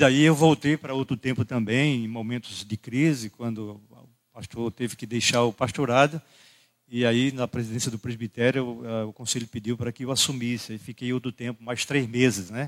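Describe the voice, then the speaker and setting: An ordinary speaking voice from a man, medium in pitch, at a moderate pace with fairly even intonation and big swings in loudness, the sound dry and close with no echo. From Brazil, Rio Grande do Norte (Caicó). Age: 60s. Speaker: pastor. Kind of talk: sermon. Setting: church.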